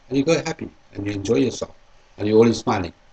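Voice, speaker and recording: Talking at a very fast pace, a man has a fairly low pitch and a somewhat breathy voice. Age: 60s. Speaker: interviewee, sales rep. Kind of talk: interview answers. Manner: hesitant, repetitive.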